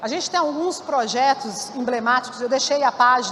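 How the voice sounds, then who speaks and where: A woman talks in a high pitch with ordinary pitch variation. Noticeable background noise runs underneath. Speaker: keynote speaker at a conference. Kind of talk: conference keynote talk. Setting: stage with audience. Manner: fast; halting, many self-corrections.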